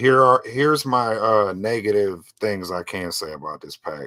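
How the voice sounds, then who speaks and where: In a very clean recording with a silent background, a man speaks fairly slowly at medium pitch, with lively intonation and a bright, sharp tone. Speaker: podcast co-host reviewing pinball. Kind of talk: casual chat. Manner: stutters often.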